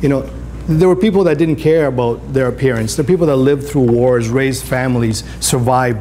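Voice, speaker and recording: A man's very fast speech with ordinary pitch variation, audible room echo and noticeable background noise. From Greece. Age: 60s. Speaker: photographer. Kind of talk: career day talk to school class. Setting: classroom with students. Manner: animated.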